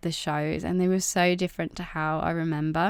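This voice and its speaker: A woman speaks in a relaxed tone with fairly even intonation. The recording is very clean, with a silent background. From English Midlands. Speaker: art youtuber. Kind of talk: casual vlog narration. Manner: relaxed, hesitant with many fillers.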